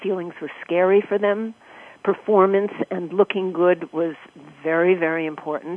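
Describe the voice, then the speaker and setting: A woman with an unremarkable speaking voice at medium pitch, moderate pace and fairly even intonation. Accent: American. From New York. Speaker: actress and performance coach. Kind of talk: radio interview.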